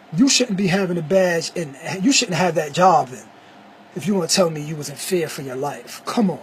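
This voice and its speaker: Amid noticeable background noise, a man with a high voice talks at a fairly quick pace, his loudness swinging widely. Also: lively intonation. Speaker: vlogger. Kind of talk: casual monologue. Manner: animated.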